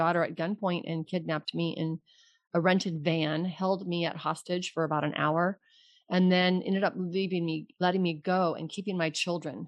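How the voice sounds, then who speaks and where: Speaking at a moderate pace, a woman uses a fairly low pitch. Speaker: financial advisor and money coach. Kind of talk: casual interview chat. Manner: animated, laughs often.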